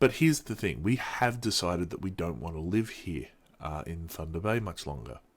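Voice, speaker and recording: A man speaks with lively intonation in an Australian accent. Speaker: vlogger. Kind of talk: casual vlog monologue. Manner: halting, many fillers.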